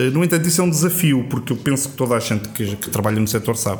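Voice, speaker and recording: Fairly quick and with lively intonation, a man is speaking. Noticeable background noise and audible room echo fill the recording. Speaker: brewer. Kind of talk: casual chat.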